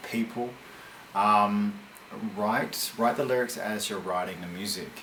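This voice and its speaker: Amid noticeable background noise and audible room echo, a man speaks at a moderate pace in a fairly low pitch with fairly even intonation. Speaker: metal band vocalist answering fan questions. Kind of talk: monologue answering fan questions. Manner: halting, many fillers.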